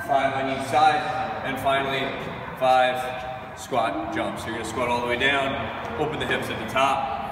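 A man at a moderate pace in a monotone, flat intonation, with audible room echo and noticeable background noise. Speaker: coach. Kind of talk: tutorial. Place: gym.

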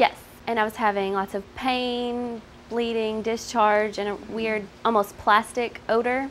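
Over light background noise, a woman with a fairly high pitch speaks at a fairly slow pace in a monotone, flat intonation. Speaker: infomercial testimonial guest. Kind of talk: testimonial interview answer. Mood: earnest, slightly uncomfortable. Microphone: lapel.

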